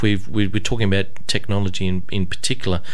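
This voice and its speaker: A man at a fairly quick pace and fairly low pitch. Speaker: radio host. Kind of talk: live radio show patter, chatty interview with station idents and music back-announcements. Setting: radio studio. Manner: casual, rambling and hesitant with many fillers, light and humorous. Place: studio.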